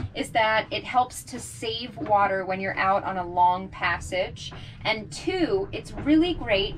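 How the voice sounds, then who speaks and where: Light background noise sits behind a woman who speaks fairly slowly with lively intonation. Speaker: boat liveaboard vlogger. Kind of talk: tutorial. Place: bathroom. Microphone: camera far.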